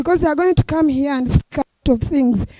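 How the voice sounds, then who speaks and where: Dark, mellow woman's voice with ordinary pitch variation, dry and close with no echo. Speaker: youth parliament coordinator. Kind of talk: event speech.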